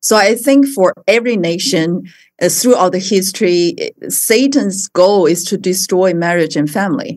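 A woman with a Mandarin accent, medium in pitch, at a moderate pace, with lively intonation. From China. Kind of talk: interview. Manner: halting.

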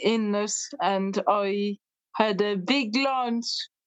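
The speaker talks very slowly in a West Cork accent with fairly even intonation. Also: woman. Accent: West Cork Irish. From Ireland, West Cork. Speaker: music therapist. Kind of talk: casual interview chat.

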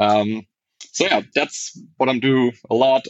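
This man speaks with a German accent. His pace is fairly slow. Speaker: software architect. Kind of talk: casual interview.

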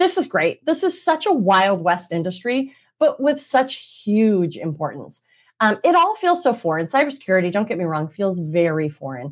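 Heard in a very clean recording with a silent background, a woman at a medium pitch speaks with very wide pitch swings. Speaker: maritime attorney, solo podcast host. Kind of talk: solo explainer podcast on law and policy. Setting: video recording. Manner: fast; lively, conversational.

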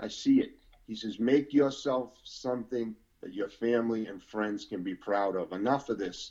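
In a Boston accent, a man speaks with a dark, mellow tone. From Boston, Massachusetts. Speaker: former prisoner. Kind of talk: testimony.

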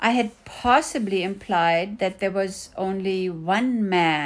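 The reading voice is unforced. Pitch moves up and down in an ordinary way.

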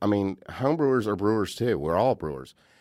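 A man's fairly low voice with an American accent, a normal speaking voice, ordinary pitch variation and a fairly quick pace. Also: very clean recording, silent background. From US South, Outer Banks of North Carolina. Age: 40s. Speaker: brewery co-owner and head brewer. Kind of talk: casual chat. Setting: studio.

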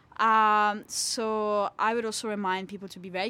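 A woman of medium pitch has a bright, sharp tone, captured on a very clean recording with a silent background. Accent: Italian. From Italy. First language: Italian. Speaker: PhD student in plant science. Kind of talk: interview. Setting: studio. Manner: animated.

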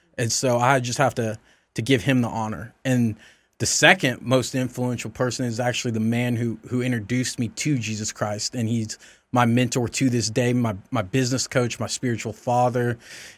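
On a very clean recording with a silent background, a man speaks at a moderate pace and medium pitch with monotone, flat intonation. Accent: Southern US. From US South. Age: 30s. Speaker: insurance agent. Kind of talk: casual interview. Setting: studio. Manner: polite, formal.

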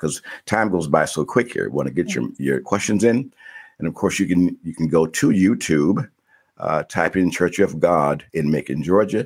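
At a moderate pace, a man speaks in a very deep, low pitch with vocal fry and lively intonation. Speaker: podcast host, retired counselor. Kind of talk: casual chat.

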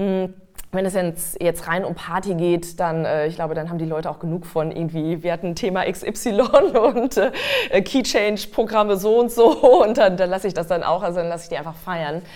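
Over noticeable background noise, a woman speaks at a moderate pace and medium pitch. Her pitch varies in an ordinary way. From Westphalia, Germany. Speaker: singer-songwriter and voice trainer. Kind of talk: casual interview.

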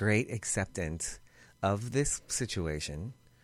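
This is a man with a normal speaking voice and an American accent. His pitch is fairly low and his intonation lively. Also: very clean recording, silent background. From Boston area. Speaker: former nightclub manager in recovery. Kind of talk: interview. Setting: studio.

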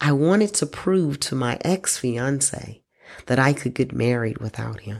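On a very clean recording with a silent background, a woman speaks in a very deep, low voice. Her intonation is lively and her pace fairly slow. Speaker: podcast host. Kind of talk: solo monologue podcast. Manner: laughs often.

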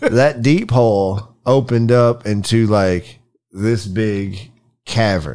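Very slowly, a man speaks in a fairly low pitch with a dark, mellow tone and ordinary pitch variation, on a very clean recording with a silent background. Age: 40s. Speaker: podcast co-host. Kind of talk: casual chat.

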